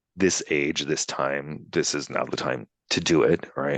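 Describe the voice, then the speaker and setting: A man's very deep, low voice with vocal fry, in a dry, close sound with no echo. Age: 50s. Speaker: lawyer. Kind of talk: interview. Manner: casual, many fillers.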